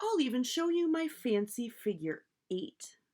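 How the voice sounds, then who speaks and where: A woman's put-on character voice, high in pitch, with very wide pitch swings and a moderate pace. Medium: read story.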